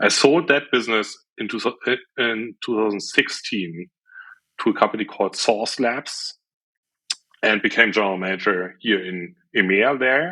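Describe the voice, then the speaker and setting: A man speaks in a German accent at a moderate pace, his fairly low voice bright and sharp in tone, with ordinary pitch variation and long, frequent pauses. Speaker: software entrepreneur. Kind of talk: interview.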